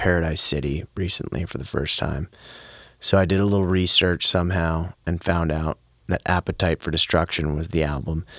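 In a dry, close recording with no echo and a silent background, a man talks with fairly even intonation. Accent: American. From Pennsylvania. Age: 30s. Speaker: singer and musician. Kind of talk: casual chat. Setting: studio.

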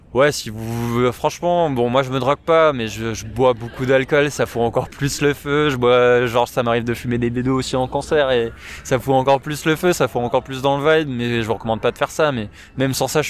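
Man at a medium pitch, fairly quick pace and fairly even intonation, with noticeable background noise. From Paris, France. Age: 20s. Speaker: gamer, music fan. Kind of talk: casual chat. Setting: outdoors, in a park.

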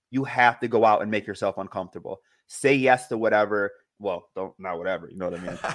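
Speaking at a very fast pace with an American accent, a man uses a fairly low pitch, ordinary pitch variation and big swings in loudness. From New York State, outside upstate. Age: 30s. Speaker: satellite radio producer. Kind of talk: casual interview.

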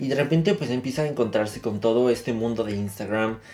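A man with a normal speaking voice talks at a fairly quick pace. His medium pitch shows ordinary variation. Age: 20s. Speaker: podcast co-host. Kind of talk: casual chat.

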